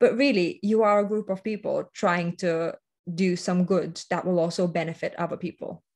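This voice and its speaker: A non-native accent at a moderate pace over a quiet background. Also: woman. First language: not English. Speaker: workshop presenter. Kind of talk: workshop presentation. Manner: hesitant, with many fillers and restarts.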